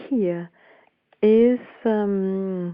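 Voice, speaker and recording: A woman speaks with a Danish accent. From Denmark. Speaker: voice coach and author. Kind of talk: interview. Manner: halting.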